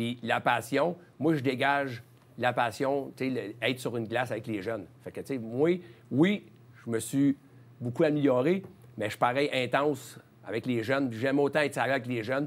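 A man with a medium-pitched voice talks at a moderate pace, taking long, frequent pauses, his pitch varying in an ordinary way. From Quebec, Charlemagne. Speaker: hockey coach, former player. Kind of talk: interview. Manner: halting. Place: studio. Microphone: lapel.

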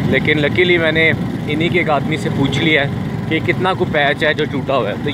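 Over loud background noise, a man speaks with ordinary pitch variation in a dry sound with no echo. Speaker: motorcycle travel vlogger. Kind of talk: casual vlog chat. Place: motorbike. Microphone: phone near.

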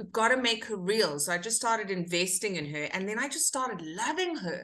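A woman's bright, sharp tone at a moderate pace. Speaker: actor guest. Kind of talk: interview answer. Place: home room. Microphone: webcam.

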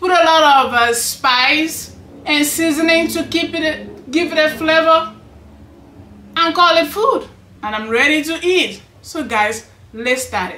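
At a very slow pace, a woman speaks in a raised, projected voice, with audible room echo. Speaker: cooking channel host. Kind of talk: casual cooking vlog chat. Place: home room.

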